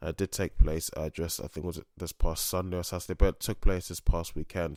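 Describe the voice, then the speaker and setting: A man's very deep, low voice, monotone and flat, at a moderate pace, with a dry, close sound with no echo and a very clean recording over a silent background. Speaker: MMA podcast host. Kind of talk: solo podcast commentary. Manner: halting, many fillers.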